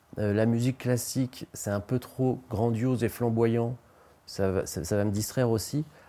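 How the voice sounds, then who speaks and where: On a very clean recording with a silent background, a man speaks at medium pitch in a dark, mellow tone with fairly even intonation. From western France (Nantes/Anjou area). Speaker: novelist and journalist. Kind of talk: interview. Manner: hesitant, frequent fillers.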